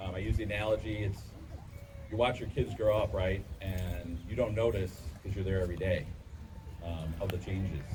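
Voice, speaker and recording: A man with an American accent talks at a fairly quick pace in a fairly low voice. Audible room echo and noticeable background noise surround him. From Chicago area, Illinois. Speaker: amusement park owner. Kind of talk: public speech.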